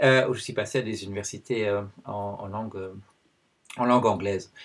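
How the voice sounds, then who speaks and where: A man with a Dutch accent speaks at a medium pitch and a fairly quick pace. His voice has a somewhat breathy quality. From Belgium. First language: Dutch (speaking French). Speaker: anthropologist and video blogger. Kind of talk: personal video commentary. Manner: hesitant, many fillers.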